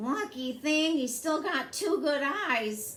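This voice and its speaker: Using a put-on character voice, a woman speaks at a fairly slow pace in a high pitch. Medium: read story.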